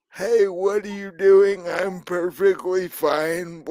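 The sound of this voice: A man uses a put-on character voice with a high pitch. He speaks at a very slow pace.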